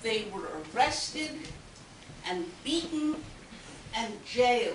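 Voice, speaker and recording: Against noticeable background noise, a woman speaks very slowly in a high pitch with very wide pitch swings. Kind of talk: historical talk.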